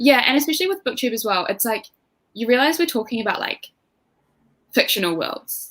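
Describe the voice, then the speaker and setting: With a New Zealand accent, a woman speaks at a fairly high pitch with lively intonation and long, frequent pauses. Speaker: booktuber guest. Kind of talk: casual chat. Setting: livestream.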